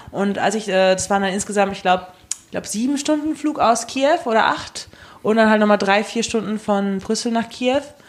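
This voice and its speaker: Over noticeable background noise, a woman talks at a moderate pace in a fairly high voice with ordinary pitch variation. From Germany. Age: 20s. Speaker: travel enthusiast. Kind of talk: casual chat. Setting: studio.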